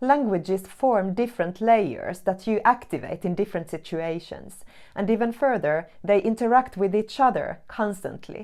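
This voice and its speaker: A woman talks with a non-native accent and hardly any pauses. The background is quiet. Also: medium pitch for a woman, ordinary pitch variation, moderate pace. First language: not English. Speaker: academic writing teacher, researcher. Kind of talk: scripted tutorial.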